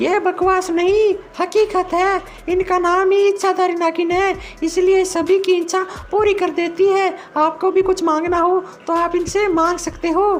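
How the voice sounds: This cartoonish character voice sits at an extremely high pitch with monotone, flat intonation over clear background noise. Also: moderate pace.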